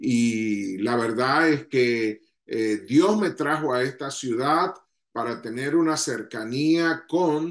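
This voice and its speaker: Speaking at a very slow pace in a Venezuelan accent, a man keeps to ordinary pitch variation. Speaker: ministry leader. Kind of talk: leadership talk to online audience.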